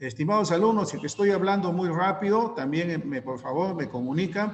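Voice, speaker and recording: A man's fairly quick, lively-intoned speech, with audible room echo and noticeable background noise. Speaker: teacher. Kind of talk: online class lecture. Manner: fast.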